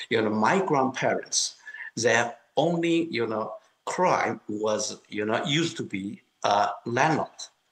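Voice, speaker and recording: A man at a medium pitch, very slow pace and lively intonation. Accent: Chinese. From China, Kunming (Yunnan). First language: Mandarin Chinese. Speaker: political activist. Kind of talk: interview testimony.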